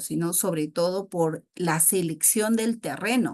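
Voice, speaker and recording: Against a quiet background, a woman speaks in an ordinary speaking voice with ordinary pitch variation. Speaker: architect and webinar instructor. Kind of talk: webinar lecture. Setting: online webinar.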